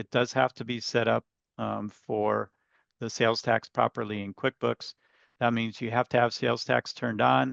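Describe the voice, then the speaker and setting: In a quiet background with a dry sound and no echo, a man with an unremarkable speaking voice talks at a moderate pace with a medium pitch and fairly even intonation. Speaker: software trainer. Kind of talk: webinar tutorial. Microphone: webcam.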